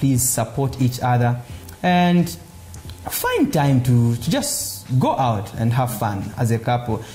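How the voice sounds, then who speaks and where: A man speaks at a medium pitch. Noticeable background noise and audible room echo fill the recording. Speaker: comedian. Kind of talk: casual interview. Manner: loud; hesitant, filler words.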